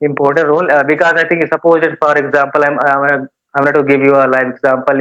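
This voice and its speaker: A man speaks very fast at a fairly high pitch, in a monotone, flat intonation with very even loudness. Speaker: English teacher. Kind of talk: casual interview giving advice. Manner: halting, many filler sounds.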